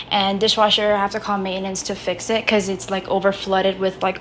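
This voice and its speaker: There is noticeable background noise. Over it, a woman speaks at a medium pitch. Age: young. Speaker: college student vlogger. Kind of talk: casual vlog. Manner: fast. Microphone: muffled, still figuring out audio.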